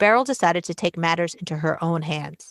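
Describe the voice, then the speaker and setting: In a normal speaking voice with an American accent, a woman of fairly low pitch speaks at a moderate pace with ordinary pitch variation, recorded very cleanly against a silent background with a dry, close sound and no echo. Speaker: podcast host. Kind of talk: scripted narration; interview.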